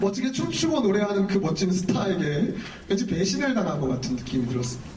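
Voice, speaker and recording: A man's high-pitched voice with very wide pitch swings, a very fast pace and very even loudness, amid audible room echo and noticeable background noise. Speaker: pastor. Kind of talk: sermon.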